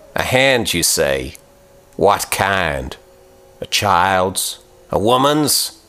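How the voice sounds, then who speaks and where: Growling in a put-on character voice, a man speaks very slowly at a fairly low pitch, with very wide pitch swings and long, frequent pauses. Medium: read story. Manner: growling, curt.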